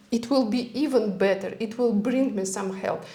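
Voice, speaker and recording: Audible room echo surrounds a woman speaking at a fairly high pitch with ordinary pitch variation. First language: not English. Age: 40s. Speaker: health and longevity expert. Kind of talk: casual interview chat. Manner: halting.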